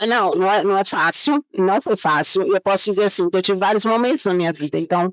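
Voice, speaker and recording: Speaking with a Bahian accent, a woman talks at a medium pitch with ordinary pitch variation, very even loudness and hardly any pauses, in a dry, close sound with no echo. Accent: Bahian Brazilian Portuguese. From Bahia, Brazil. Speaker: chemical engineer. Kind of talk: interview.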